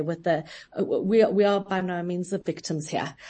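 A somewhat breathy woman speaks at a medium pitch and a moderate pace with fairly even intonation. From South Africa. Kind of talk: radio interview. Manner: halting.

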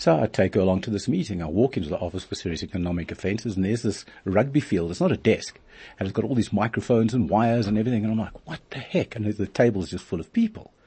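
This man talks at a very fast pace in a fairly low voice. His delivery is somewhat breathy. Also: ordinary pitch variation. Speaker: fraud expert and lecturer. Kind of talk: interview. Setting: studio.

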